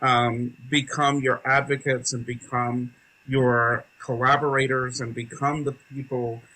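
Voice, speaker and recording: In an American accent, a man speaks fairly slowly at a medium pitch in an ordinary speaking voice. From US South, rural North Carolina. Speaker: theatre educator, nonprofit founder. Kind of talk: interview.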